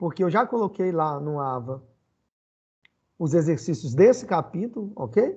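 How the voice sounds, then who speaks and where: Against a quiet background, a man talks at a fairly slow pace with long, frequent pauses. His high-pitched voice has a dark, mellow tone and very wide pitch swings. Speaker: physics teacher. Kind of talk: online lecture.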